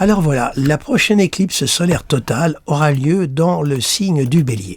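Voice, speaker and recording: Here a man talks at a moderate pace. His voice is somewhat breathy. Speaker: astrologer. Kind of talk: talk to camera, astrology analysis. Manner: halting, with fillers.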